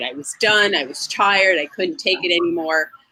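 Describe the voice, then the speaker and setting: Her intonation lively, a woman with a medium pitch speaks at a moderate pace. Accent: New Jersey. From New Jersey. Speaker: real estate agent. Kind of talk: interview. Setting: outdoors.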